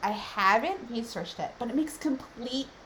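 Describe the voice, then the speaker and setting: The speaker talks at a moderate pace with lively intonation over noticeable background noise. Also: woman. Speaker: business consultant. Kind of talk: tutorial.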